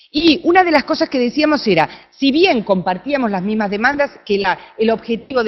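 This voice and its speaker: Her voice is fairly high and swings very widely in pitch. The woman talks at a moderate pace with an Argentine accent. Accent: Argentine, noticeable. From Argentina. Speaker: researcher, conference speaker. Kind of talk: conference talk.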